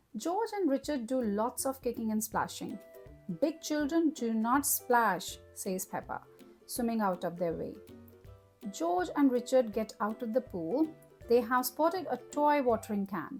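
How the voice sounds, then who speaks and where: With music in the background, a woman of fairly high pitch sounds cheerful, speaking at a fairly slow pace with lively intonation. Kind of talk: children's read-aloud story.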